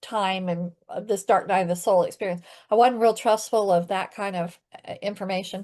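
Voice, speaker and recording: The speaker talks at a fairly quick pace with ordinary pitch variation against a quiet background. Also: woman. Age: 60s. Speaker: healing practitioner and coach. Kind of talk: podcast interview. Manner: halting.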